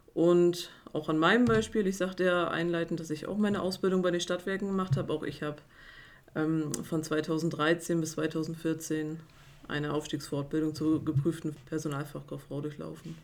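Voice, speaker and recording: This woman's voice sits very deep and low, with fairly even intonation at a moderate pace. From Mecklenburg-Vorpommern, Güstrow. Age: 30s. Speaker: HR officer and apprenticeship trainer. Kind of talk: interview.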